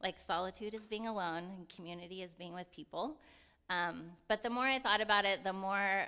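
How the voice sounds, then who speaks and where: This woman's bright, sharp tone sits at a medium pitch, with ordinary pitch variation and a moderate pace. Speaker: lay preacher. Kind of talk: sermon. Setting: church. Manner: loud.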